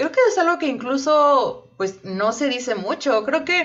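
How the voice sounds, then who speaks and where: Loud and full of very wide pitch swings, a woman speaks. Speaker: podcast co-host. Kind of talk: casual chat. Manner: halting.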